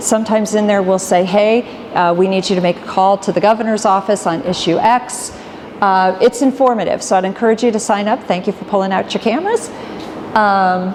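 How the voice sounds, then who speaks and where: A woman's fairly quick speech at a medium pitch, with fairly even intonation and noticeable background noise. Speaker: business association executive. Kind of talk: presentation to live audience. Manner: fast.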